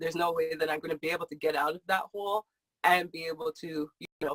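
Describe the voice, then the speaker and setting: The pace is fairly quick. The sound is dry and close, with no echo. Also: woman. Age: young. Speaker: financial advisor. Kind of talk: interview. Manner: soft-spoken.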